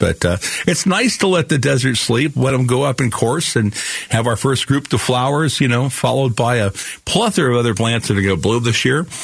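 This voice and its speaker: A man with an ordinary speaking voice, medium pitch, ordinary pitch variation, very even loudness and a fairly quick pace. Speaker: radio garden show host. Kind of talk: call-in radio show. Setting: studio. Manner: relaxed, uses many fillers.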